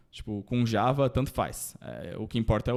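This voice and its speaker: Captured on a very clean recording with a silent background, a man speaks at a moderate pace and medium pitch. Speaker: data engineer panelist. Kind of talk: panel presentation. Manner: casual, hesitant fillers.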